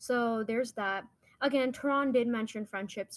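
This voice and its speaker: This woman has an Indian accent. She speaks at a moderate pace. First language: Hindi. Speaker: podcast co-host. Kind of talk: casual chat. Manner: halting, many fillers.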